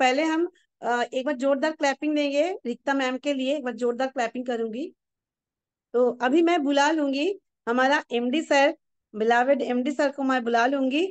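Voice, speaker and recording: Her voice sits high, with ordinary pitch variation. This woman is recorded dry and close, with no echo. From Bengal, India. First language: Bengali (speaking Hindi). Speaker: event anchor and trainer. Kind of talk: event hosting.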